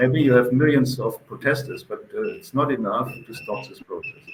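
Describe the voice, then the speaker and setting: The speaker has a German accent and a moderate pace. Intonation stays fairly even over noticeable background noise. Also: man. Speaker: event organizer. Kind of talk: interview. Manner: halting.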